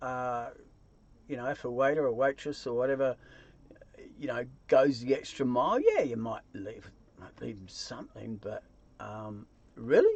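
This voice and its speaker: Delivered at a moderate pace, the speech has big swings in loudness and long, frequent pauses. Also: man. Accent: New Zealand. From New Zealand. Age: 60s. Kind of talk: casual talk to camera.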